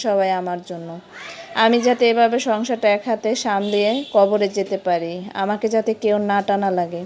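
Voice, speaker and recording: A woman's fairly high voice carries a dark, mellow tone and fairly even intonation. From Bangladesh. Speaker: home cooking vlogger. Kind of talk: voice-over vlog narration. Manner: halting.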